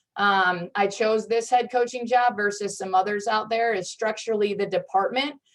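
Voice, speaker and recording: An unremarkable speaking voice from a woman, medium in pitch, with fairly even intonation and a fairly slow pace. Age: 30s. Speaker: head coach. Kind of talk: panel discussion. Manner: many fillers and restarts.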